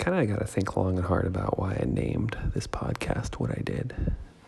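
Soft-spoken and with a very deep, low pitch, a man talks at a moderate pace amid noticeable background noise. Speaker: podcast host. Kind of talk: casual monologue. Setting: at home in dining room.

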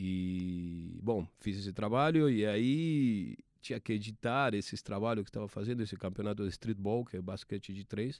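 The speech moves at a moderate pace with hardly any pauses, in a very clean recording with a silent background. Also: man, ordinary pitch variation. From Argentina. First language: Spanish (speaking Portuguese). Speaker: sports TV producer. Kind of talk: interview. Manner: halting, many repetitions.

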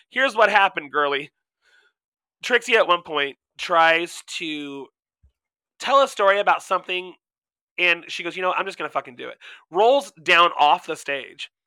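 A man's high, bright, sharp voice, animated in tone with lively intonation, big swings in loudness, a moderate pace and long, frequent pauses, in a dry, close sound with no echo. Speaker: podcast co-host. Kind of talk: casual chat.

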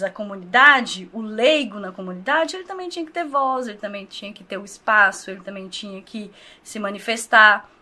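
A woman speaks at a moderate pace. Her pitch makes very wide swings. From Brazil, Governador Valadares (Minas Gerais). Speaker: social project leader. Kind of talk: casual interview.

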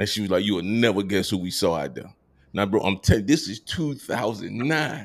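A man with an American accent speaks at a moderate pace with lively intonation. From Georgia, US (Columbus). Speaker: podcast host, navy veteran. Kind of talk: casual chat. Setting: video call.

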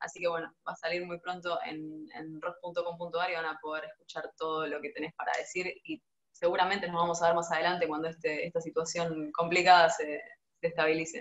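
With monotone, flat intonation, a woman talks at a fairly quick pace and a fairly low pitch. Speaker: interviewer. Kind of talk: casual interview. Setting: at home, video call.

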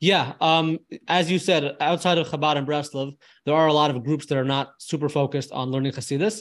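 Using an ordinary speaking voice, a man with a fairly high pitch talks at a fairly quick pace with fairly even intonation. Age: 20s. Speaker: filmmaker and travel content creator. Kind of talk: interview conversation.

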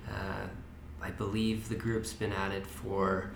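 A man with a Canadian accent speaks at a fairly slow pace. Room echo is audible and background noise is noticeable. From Kootenays, British Columbia. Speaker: community volunteer on tunnel restoration. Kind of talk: podcast interview.

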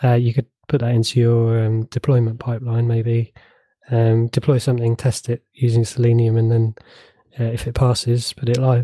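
In a dry, close sound with no echo, a man with a dark, mellow tone and medium pitch speaks at a moderate pace, somewhat breathy and in a monotone, flat intonation. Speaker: podcast co-host, IT professional. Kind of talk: casual chat.

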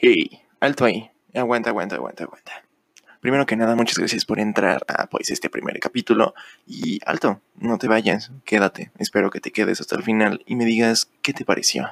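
Talking at a moderate speed, a man is heard in a dry, close recording without any echo. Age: 20s. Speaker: podcaster. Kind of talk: casual monologue. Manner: halting.

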